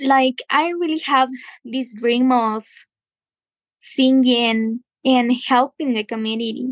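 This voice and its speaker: With a Spanish accent and a high pitch, a woman talks at a very slow pace with long, frequent pauses in a dry, close sound with no echo. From Guatemala, Huehuetenango. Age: 20s. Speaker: musician. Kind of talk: interview. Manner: halting.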